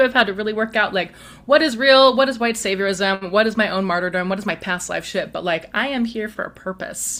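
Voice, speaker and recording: Using an ordinary speaking voice, a woman talks at a fairly quick pace and fairly high pitch with ordinary pitch variation. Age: 40s. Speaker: spiritual practitioner, customer of the host. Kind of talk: casual interview conversation.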